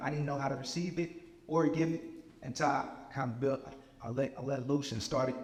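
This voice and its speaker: A man at a very fast pace with a fairly high pitch, audible room echo and noticeable background noise. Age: 20s. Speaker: motivational speaker, young father and author. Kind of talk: inspirational talk.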